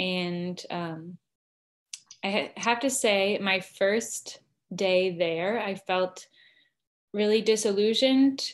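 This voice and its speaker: Against a quiet background, a woman with an American accent talks at a very slow pace, leaving long, frequent pauses. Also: ordinary pitch variation. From Arizona, US. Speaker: seminary student; interview guest. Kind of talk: online interview. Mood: earnest, reflective. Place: home room. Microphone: video call.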